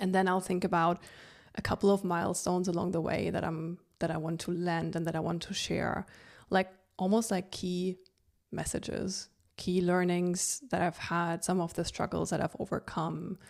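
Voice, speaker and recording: Speaking at a moderate pace, a woman uses a monotone, flat intonation at a fairly low pitch on a very clean recording with a silent background. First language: not English. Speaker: podcast host. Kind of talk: solo podcast monologue. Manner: conversational, relaxed.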